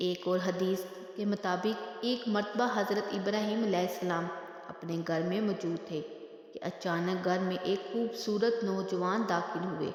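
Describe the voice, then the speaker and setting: A woman's medium-pitched voice with fairly even intonation amid noticeable background noise. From Pakistan. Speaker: voice-over artist. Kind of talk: Islamic religious storytelling narration.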